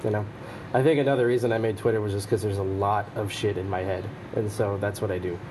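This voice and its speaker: A man with an American accent speaks at a very fast pace in a fairly low pitch. His intonation is fairly even, and there is audible room echo. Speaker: social media personality. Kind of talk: casual chat.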